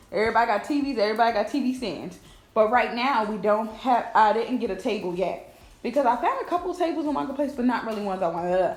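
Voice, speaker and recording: This woman talks at a very fast pace with a fairly high pitch and lively intonation, over noticeable background noise and audible room echo. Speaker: lifestyle vlogger. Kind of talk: casual vlog talk. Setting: at home.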